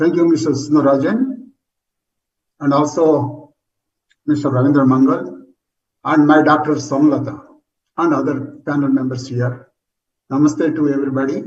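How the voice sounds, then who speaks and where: A man speaks at a moderate pace in a fairly high, somewhat breathy voice with fairly even intonation. There is audible echo in the room. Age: 70s. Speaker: retired geologist, transplant recipient. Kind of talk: testimony.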